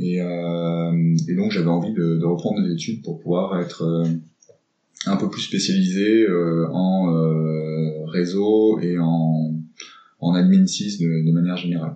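Audible room echo surrounds a man's very deep, low voice, dark and mellow in tone, delivered at a very slow pace with fairly even intonation. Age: 40s. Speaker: tech startup cofounder. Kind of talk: interview. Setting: coworking space. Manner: hesitant, many fillers.

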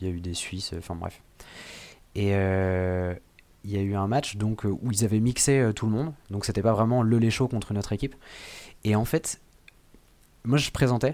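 Delivered at a fairly slow pace with long, frequent pauses, the voice has a dark, mellow tone and ordinary pitch variation. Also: man, fairly low pitch for a man. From western France, Vendée. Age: 20s. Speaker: improv actor. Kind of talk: casual interview. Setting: remote recording.

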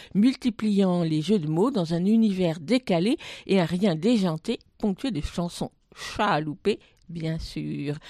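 A woman with a medium pitch and a dark, mellow tone speaks with lively intonation. The sound is dry and close with no echo, over a quiet background. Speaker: radio host. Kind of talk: radio presenting and interview. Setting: radio studio.

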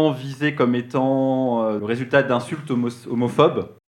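The delivery comes at a fairly slow pace. It is a normal speaking voice. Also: man. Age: 30s. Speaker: TV series columnist. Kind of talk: radio column.

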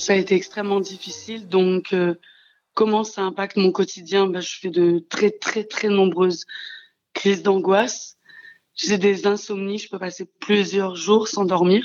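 Speaking fairly slowly, a woman keeps a medium pitch and fairly even intonation. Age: 30s. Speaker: childminder, abuse survivor. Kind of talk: testimony. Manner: halting.

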